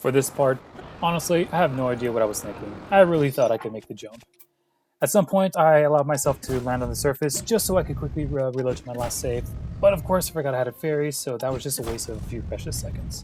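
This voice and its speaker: Music plays in the background as a man speaks at a very fast pace. His pitch is medium, and his loudness swings widely. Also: ordinary pitch variation. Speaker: gaming YouTuber. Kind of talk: gameplay commentary narration.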